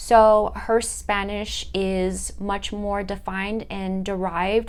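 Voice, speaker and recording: Here a woman talks at a very slow pace. Her medium-pitched voice carries audible room echo. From US West, southern California (Fullerton). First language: Italian. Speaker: student. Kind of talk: class presentation monologue. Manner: halting, with many fillers.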